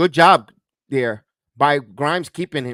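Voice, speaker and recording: Lively intonation at a fairly slow pace, dry and close with no echo, over music in the background. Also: man. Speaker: sports play-by-play announcer. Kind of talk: live basketball play-by-play commentary.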